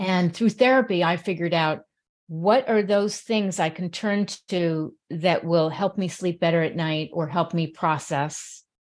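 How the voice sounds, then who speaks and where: A woman with an American accent and an unremarkable speaking voice talks at a fairly slow pace. Her pitch is fairly low with ordinary variation, over a quiet background. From New York City. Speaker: mental health advocate and radio host. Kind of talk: interview conversation.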